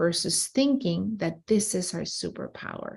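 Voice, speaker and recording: With a Latin American accent, a woman speaks using lively intonation. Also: quiet background. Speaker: entrepreneur and keynote speaker. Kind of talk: keynote speech. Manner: loud; enthusiastic.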